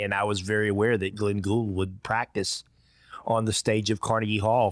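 Speaking with a strong Georgia accent, a man keeps a fairly low pitch and fairly even intonation at a moderate pace on a very clean recording with a silent background. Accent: thick Georgia (Southern US). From rural Georgia. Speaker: orchestra trombonist and music professor, podcast guest. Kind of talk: conversational interview.

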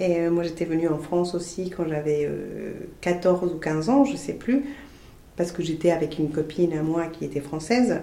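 Audible room echo surrounds a woman who speaks with a Spanish accent and ordinary pitch variation. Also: fairly low pitch for a woman, moderate pace. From Colombia. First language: Spanish (speaking French). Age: 40s. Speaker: podcast guest. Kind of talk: interview. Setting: in person. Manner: halting.

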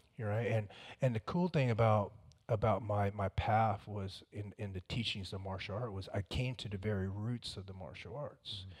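At a moderate pace, a man with a fairly low, somewhat breathy voice and ordinary pitch variation speaks on a very clean recording with a silent background. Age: 40s. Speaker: former special forces soldier. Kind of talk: interview. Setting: studio.

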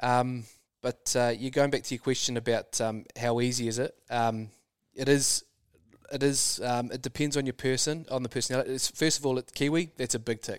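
With a New Zealand accent, a man speaks in a monotone, flat intonation, in a very clean recording with a silent background and a dry, close sound with no echo. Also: medium pitch for a man, moderate pace. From New Zealand, rural. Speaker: super yacht crew member. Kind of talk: casual chat. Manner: hesitant, many ums.

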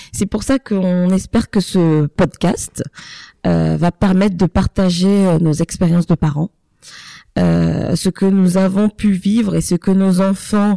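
Dry and close with no echo, a woman's dark, mellow tone sits at a fairly low pitch as she speaks very slowly. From Ivory Coast and France. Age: 30s. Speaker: podcast co-host, mother. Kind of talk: casual chat.

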